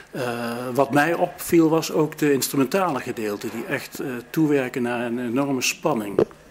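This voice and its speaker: A man at a fairly slow pace with ordinary pitch variation, over light background noise. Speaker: interviewer. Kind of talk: backstage interview. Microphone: phone near.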